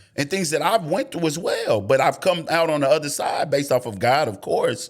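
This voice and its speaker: Over noticeable background noise, a man with an American accent talks fairly quickly at a fairly high pitch, his intonation lively. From Oklahoma (Tulsa). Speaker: city council candidate. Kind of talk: casual interview. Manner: halting.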